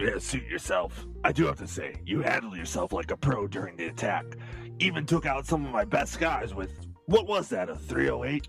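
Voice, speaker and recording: Clear music plays in the background as a man uses a raspy, put-on character voice. His pitch is fairly low and his pace moderate. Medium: audio drama. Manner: crude, profane, casually menacing.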